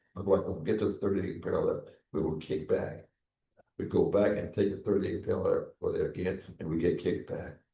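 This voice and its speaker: Talking at a very fast pace, a man is heard with audible room echo. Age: 90s. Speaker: Korean War veteran, former chaplain. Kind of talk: interview, war recollections. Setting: veterans memorial building, live broadcast. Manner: halting, repetitive.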